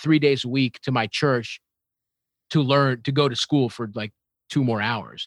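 Here is a man with a plain, everyday voice and an American accent, talking at a moderate pace in a medium pitch with ordinary pitch variation. The recording is very clean, with a silent background and a dry, close sound free of echo. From Baltimore, US. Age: 30s. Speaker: comedian. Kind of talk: casual chat.

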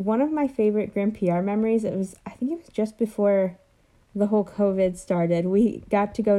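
A woman with a dark, mellow tone and fairly even intonation is heard on a very clean recording against a silent background. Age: 20s. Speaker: college student. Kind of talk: casual interview.

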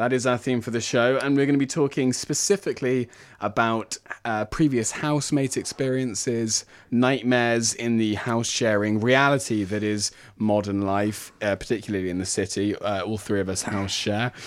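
A man's unremarkable speaking voice, medium in pitch, at a moderate pace with ordinary pitch variation. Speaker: radio host. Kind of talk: radio DJ patter: polished station-ID links, time check and show sign-off. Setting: studio. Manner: smooth, upbeat, formal-friendly broadcaster delivery.

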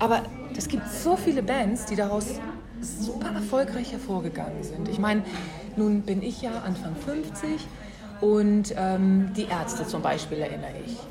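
At a fairly slow pace, a woman talks at a medium pitch with ordinary pitch variation, while audible room echo and noticeable background noise surround her voice. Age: 50s. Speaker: podcast host. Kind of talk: interview. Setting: café.

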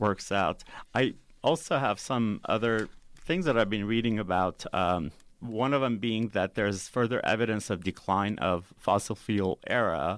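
In a very clean recording with a silent background, a man with a fairly low pitch, ordinary pitch variation and very even loudness has an unremarkable speaking voice. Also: fairly slow pace. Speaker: radio host. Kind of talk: radio interview. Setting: radio studio.

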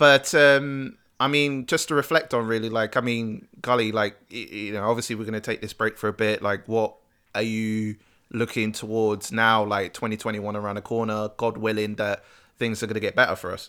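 A man with a British accent speaks at medium pitch and a fairly quick pace, with fairly even intonation. His tone is bright and sharp, and the recording is very clean with a silent background. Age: 30s. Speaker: podcast co-host. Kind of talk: casual chat.

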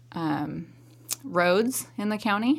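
This is a woman speaking with a West Coast accent. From central Oregon, US. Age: 30s. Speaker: county commission candidate. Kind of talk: candidate interview.

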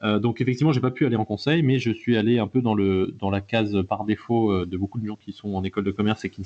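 Talking at a very fast pace with hardly any pauses, a man uses a fairly low voice and ordinary pitch variation. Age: 20s. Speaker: blockchain consultancy founder. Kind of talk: interview.

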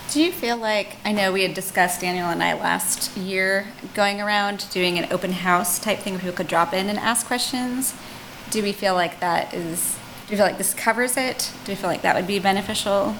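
With fairly even intonation, a woman keeps up a fairly quick pace while noticeable background noise carries on around her. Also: medium pitch for a woman. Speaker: commission member. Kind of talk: formal meeting discussion.

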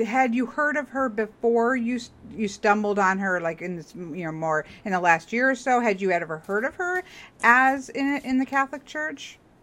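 The tone is bright and sharp, and the pitch swings very widely at a moderate pace. The recording is very clean against a silent background. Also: woman. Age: 40s. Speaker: podcast host. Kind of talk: casual chat interview.

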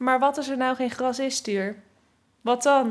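With an ordinary speaking voice, a woman talks at a moderate pace using fairly even intonation. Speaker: vlogger and runner, podcast host. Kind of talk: casual chat and interview. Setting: at a kitchen table at home.

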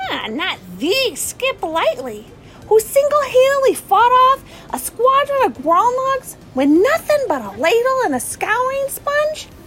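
Through clear background noise, a woman talks fairly slowly in an extremely high pitch with lively intonation. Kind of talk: audio drama acting. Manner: chatty, amused, then panicked.

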